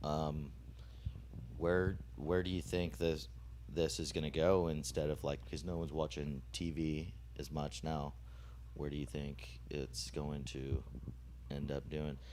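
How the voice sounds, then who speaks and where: A man with a very deep, low voice and vocal fry speaks at a fairly slow pace, with long, frequent pauses, ordinary pitch variation and audible room echo. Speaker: podcast host. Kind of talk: casual chat. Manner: halting.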